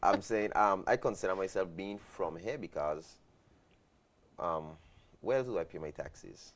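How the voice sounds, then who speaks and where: A man with a British Virgin Islands accent speaks in a fairly low pitch with ordinary pitch variation. His moderate pace is broken by long, frequent pauses. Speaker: guest. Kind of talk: talk show conversation.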